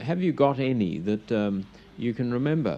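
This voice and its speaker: Music plays in the background as a man talks. His voice sits at a medium pitch with lively intonation. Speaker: radio interviewer. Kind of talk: radio interview questions.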